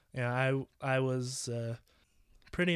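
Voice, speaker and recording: The very clean recording, with a silent background, captures a man at medium pitch speaking at a fairly slow pace. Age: 20s. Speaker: solo podcaster. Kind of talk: casual monologue. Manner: halting, many fillers and repetitions.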